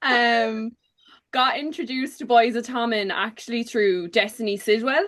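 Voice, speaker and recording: Speaking at a moderate pace, a woman with a Cork accent has a fairly high pitch and ordinary pitch variation. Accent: Cork Irish. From Ireland, Cork. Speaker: book content creator. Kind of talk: casual chat.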